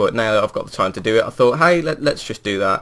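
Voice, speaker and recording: A man speaks with a West Midlands accent. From England, West Midlands. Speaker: gaming video creator. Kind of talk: gameplay commentary. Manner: casual, hesitant with fillers.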